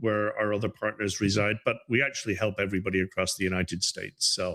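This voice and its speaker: A man's fairly low voice in an Irish accent. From Ireland, Dublin. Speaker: business advisor. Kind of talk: interview.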